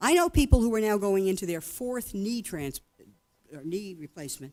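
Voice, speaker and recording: In a very clean recording with a silent background, a woman speaks at a moderate pace with a dark, mellow tone and lively intonation. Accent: American. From United States. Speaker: medical ethicist. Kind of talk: conference keynote address.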